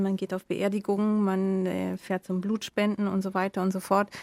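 The sound is dry and close, without any echo. A woman talks at a medium pitch. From Germany. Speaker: editor-in-chief. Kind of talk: casual chat. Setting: remote connection.

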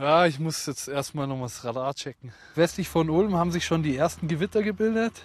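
This man's pitch varies in an ordinary way. He talks fairly quickly. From Upper Bavaria, Fürstenfeldbruck. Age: 30s. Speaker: amateur storm chaser, tradesman. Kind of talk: casual chat.

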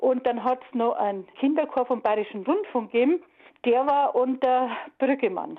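A woman with a high-pitched voice talks at a moderate pace, her loudness very even and her pitch varying in an ordinary way. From Munich (Aubing), Bavaria. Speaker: former school radio choir singer. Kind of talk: interview reminiscence. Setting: phone call.

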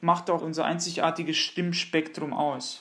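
A man speaks in a high voice. His intonation is flat and monotone. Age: 30s. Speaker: countertenor singer. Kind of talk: interview.

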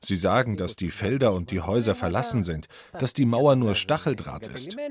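A man talking at a moderate pace. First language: Greek (speaking German). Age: 60s. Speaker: skipper and activist. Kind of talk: interview. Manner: dubbed voice-over translation.

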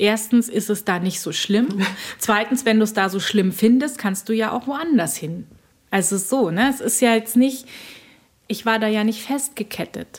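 At a moderate pace, a woman talks. There is a somewhat breathy quality to her voice. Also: fairly high pitch for a woman, ordinary pitch variation. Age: 40s. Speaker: journalist and author. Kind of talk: personal interview about depression. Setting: outdoors at a subway station and at home.

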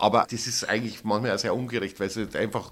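A man talks at a medium pitch with fairly even intonation. It is an ordinary speaking voice. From Upper Bavaria, Oberammergau. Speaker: theatre director. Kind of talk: interview.

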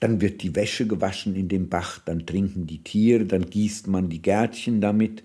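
In a very clean recording with a silent background, a man talks at a moderate pace with hardly any pauses. His voice is fairly low-pitched with a dark, mellow tone and fairly even intonation. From Oberhessen, Germany (born in Bohemia). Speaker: novelist. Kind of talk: interview narration.

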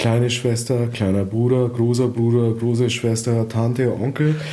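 Somewhat breathy, a man speaks with a dark, mellow tone. Audible room echo surrounds his voice. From southern Germany (Allgäu, Bavaria), born in Vietnam. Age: 40s. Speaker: refugee and father, media worker. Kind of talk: casual chat. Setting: at home. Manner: talkative, fast.

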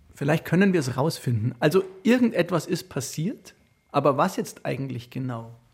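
At a moderate pace, a man with a fairly high voice and a slightly husky edge speaks with lively intonation.

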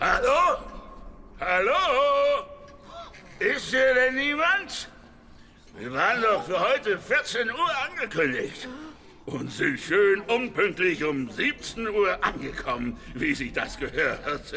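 A man uses a put-on character voice at an extremely high pitch, very slow with long, frequent pauses. Clear background noise runs underneath. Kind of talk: comic overacting. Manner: bossy, jolly, exuberant.

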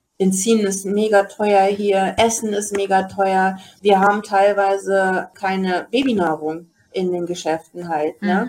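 Very slowly, a woman speaks at a medium pitch. Her intonation is fairly even. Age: 40s. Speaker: day trader and retail investor. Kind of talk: casual chat. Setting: video call.

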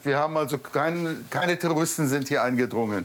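Over noticeable background noise, a man with fairly high pitch talks at a moderate pace with ordinary pitch variation. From Israel, kibbutz near Gaza. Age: 40s. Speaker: massacre survivor. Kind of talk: on-location interview. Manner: halting.

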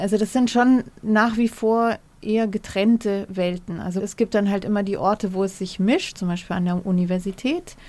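Fairly even intonation and a medium pitch mark a woman's delivery in an unremarkable speaking voice. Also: moderate pace. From Germany, Munich. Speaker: historian and journalist. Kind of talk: interview. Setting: remote link from studio.

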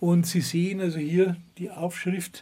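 Very slow and fairly even in intonation, a man speaks in a high pitch with a dark, mellow tone. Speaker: volunteer chapel caretaker, reservists' club chairman. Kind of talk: on-site interview. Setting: outdoors at a forest chapel.

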